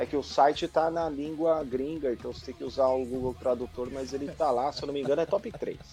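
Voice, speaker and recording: Over music in the background, a man talks at a fairly quick pace with a fairly high pitch. His intonation is fairly even, but his loudness swings widely. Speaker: podcast host. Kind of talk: casual chat. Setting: livestream.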